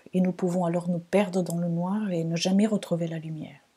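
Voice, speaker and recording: A dark, mellow voice, somewhat breathy, carries a slight non-native accent. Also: woman. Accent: slight, hard-to-place foreign. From Portugal, Lisbon. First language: Portuguese (speaking French). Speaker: astrologer, podcast host. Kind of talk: reflective solo podcast monologue.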